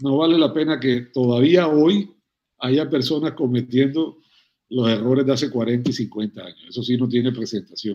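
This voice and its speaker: This is a man with an ordinary speaking voice at medium pitch. He talks at a moderate pace with ordinary pitch variation. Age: 60s. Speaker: veterinarian and cattle rancher. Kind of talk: interview conversation.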